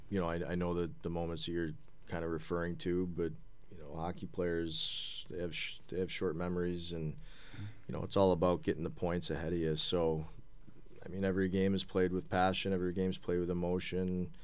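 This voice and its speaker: A man with a very deep, low pitch talks fairly quickly amid audible room echo. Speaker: hockey head coach. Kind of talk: casual interview.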